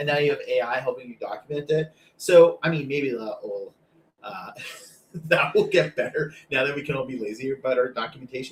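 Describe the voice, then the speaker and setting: A man with a slight Canadian accent at a fairly quick pace. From Canada. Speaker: data professional and co-host. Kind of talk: casual chat.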